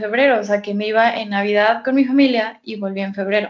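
Here a woman speaks at a fairly quick pace with a fairly high pitch. Her intonation is fairly even, in an unremarkable speaking voice. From Mexico (Guadalajara). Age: 20s. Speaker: psychology student. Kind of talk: casual chat.

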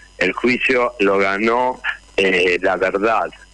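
Noticeable background noise runs throughout the clip. A man talks over it with fairly even intonation. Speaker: actor and union leader. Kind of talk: radio interview.

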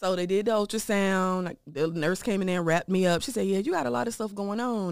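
A plain, everyday voice moves at a fairly quick pace with lively intonation on a very clean recording with a silent background. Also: woman. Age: 30s. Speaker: breast cancer survivor. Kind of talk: personal testimony.

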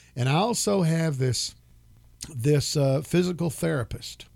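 The speaker is a man. His intonation is lively. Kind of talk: casual chat.

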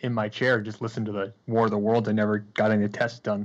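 Against a quiet background, a man talks at a fairly quick pace in a medium pitch. It is an unremarkable speaking voice. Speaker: podcast co-host. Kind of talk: casual chat.

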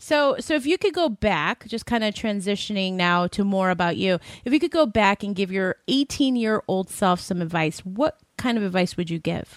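A plain, everyday voice, a woman's at medium pitch, with lively intonation, a moderate pace, hardly any pauses and a dry, close sound with no echo. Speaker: podcast co-host. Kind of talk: interview. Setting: studio.

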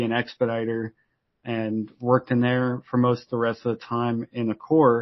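The speaker has a plain, everyday voice and moves at a fairly quick pace. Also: man. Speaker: startup founder. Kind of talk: casual interview.

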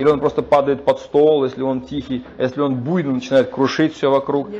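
A man with a fairly high pitch talks at a moderate pace while noticeable noise carries on behind him. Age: 40s. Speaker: lecturer on Vedic philosophy. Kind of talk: lecture. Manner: halting, frequent filler sounds.

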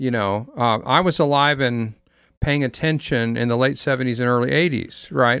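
In a very clean recording over a silent background, a man with an unremarkable speaking voice talks at a medium pitch, with ordinary pitch variation and very even loudness. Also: moderate pace. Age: 60s. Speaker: pastor and panelist. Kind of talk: casual chat. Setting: studio.

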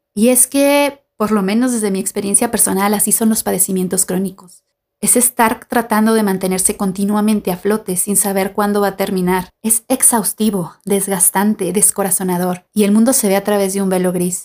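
With a dark, mellow tone and medium pitch, a woman talks at a moderate pace with hardly any pauses, very even loudness and fairly even intonation, on a very clean recording with a silent background. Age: 30s. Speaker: podcast host, art student and artist. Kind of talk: scripted narration. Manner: formal.

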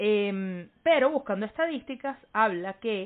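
Her pace very slow, a woman speaks at a fairly high pitch with lively intonation. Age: 20s. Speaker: podcast co-host. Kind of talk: casual chat.

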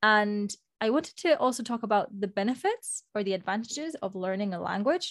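A woman in a Spanish accent speaks at a fairly quick pace with fairly high pitch and lively intonation, in a dry, close sound with no echo. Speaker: podcast co-host. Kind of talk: casual chat.

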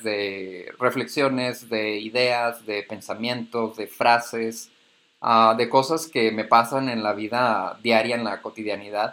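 This man speaks at a medium pitch with a bright, sharp tone. His intonation stays fairly even. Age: 20s. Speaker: podcast host, communications graduate. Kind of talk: personal reflective monologue. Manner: hesitant, filler-heavy.

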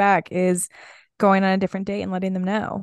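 A woman with an unremarkable speaking voice, medium pitch and fairly quick pace against a quiet background. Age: 20s. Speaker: podcast co-host and fashion stylist. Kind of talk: casual chat.

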